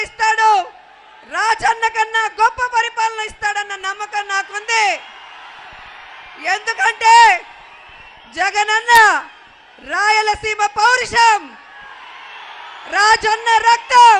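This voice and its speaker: A woman speaks at an extremely high pitch in a bright, sharp tone with monotone, flat intonation. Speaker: politician giving a campaign speech. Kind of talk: political rally speech. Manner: loud, rhetorical, crowd-addressing.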